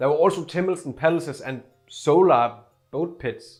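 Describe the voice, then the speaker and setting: With a Scandinavian accent, a man speaks at a moderate pace. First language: Scandinavian language. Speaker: YouTuber. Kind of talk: casual scripted video narration. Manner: casual, filler-heavy.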